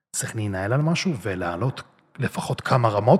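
A man's medium-pitched, somewhat breathy voice at a fairly quick pace. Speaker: bodybuilder and social media personality. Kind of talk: interview.

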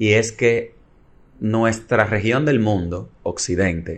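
Very slow delivery with fairly even intonation. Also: man. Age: 30s. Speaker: economics lecturer. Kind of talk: casual chat.

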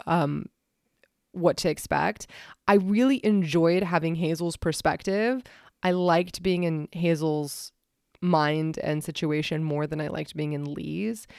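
A woman with a Pacific Northwest accent speaks at a fairly slow pace, fairly low in pitch with ordinary pitch variation, on a very clean recording with a silent background. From US Pacific Northwest, Washington State. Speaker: podcast host. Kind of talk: casual chat.

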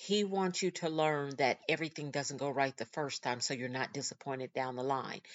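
A woman's voice with ordinary pitch variation. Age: 50s. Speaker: podcast host and author. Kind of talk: motivational faith-based monologue. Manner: conversational, laughs often.

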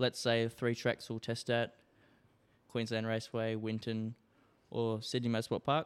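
A man with an Australian accent talks at a moderate pace in a flat monotone, taking long, frequent pauses, with a dry, close sound and no echo. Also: medium pitch for a man. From Darwin, Northern Territory, Australia. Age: 20s. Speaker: racing driver. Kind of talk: casual chat. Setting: home studio.

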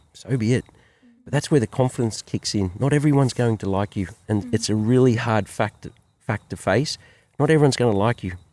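Talking at a very fast pace, a man with a dark, mellow tone and ordinary pitch variation comes through in a very clean, dry, close recording with no echo and a silent background. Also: medium pitch for a man. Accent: Australian. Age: 50s. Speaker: business owner and father. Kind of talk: casual chat. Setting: outdoors by a campfire.

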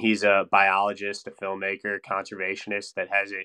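A man with an Upper Midwest accent, a fairly low pitch and a bright, sharp tone, at a moderate pace against a quiet background. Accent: Upper Midwest American. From Wisconsin (Stevens Point, north central). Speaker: engineer and fly-fishing enthusiast. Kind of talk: casual interview chat.

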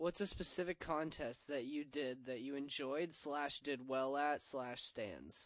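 With hardly any pauses, a man with an ordinary speaking voice talks at a fairly slow pace, his pitch fairly high and its variation ordinary. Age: 20s. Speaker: skateboarder, co-host. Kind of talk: casual chat. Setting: studio.

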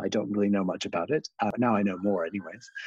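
A man's dark, mellow tone, heard dry and close with no echo. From Canada, small town. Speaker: fashion designer. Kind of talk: casual chat.

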